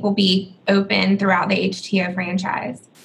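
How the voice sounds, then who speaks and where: A woman speaks at a fairly slow pace in an American accent. Her voice is somewhat breathy. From Georgia, US South (Atlanta). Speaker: podcast host, commercial real estate executive. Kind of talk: interview.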